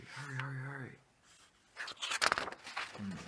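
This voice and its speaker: Whispering in a relaxed tone, a man speaks over noticeable background noise. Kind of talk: children's story read aloud, with joking asides. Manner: casual, relaxed, whispery.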